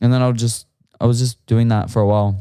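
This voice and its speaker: In an Australian accent, a man speaks in a dark, mellow tone with monotone, flat intonation on a very clean recording with a silent background. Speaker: musician. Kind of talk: casual chat.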